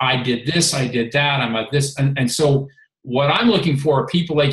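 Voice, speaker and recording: Somewhat breathy and fairly high-pitched, a man with an American accent speaks at a moderate pace with ordinary pitch variation. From Maryland, US. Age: 50s. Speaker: health and fitness coach, former reality show contestant. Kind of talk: casual chat.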